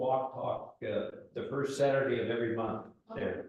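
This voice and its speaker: Audible room echo follows a man as he speaks at a fairly slow pace. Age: 70s. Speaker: audience member, native plant gardener and naturalist. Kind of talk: audience Q&A discussion. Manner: halting, frequent fillers.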